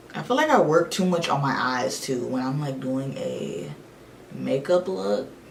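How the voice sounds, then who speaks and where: Audible echo from the room and noticeable background noise surround a woman who talks at a fairly slow pace. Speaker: beauty vlogger. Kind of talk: makeup tutorial with casual chat. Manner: flat, deadpan; relaxed, nonchalant.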